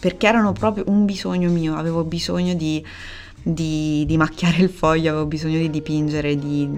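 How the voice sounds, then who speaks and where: A woman talks at a fairly quick pace. Her voice is pitched very deep and low. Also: ordinary pitch variation. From Italy, Perugia (Umbria). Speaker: illustrator. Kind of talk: casual interview chat. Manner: hesitant, many fillers.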